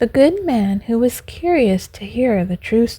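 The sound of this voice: The voice reads in an unforced way. Its intonation is lively.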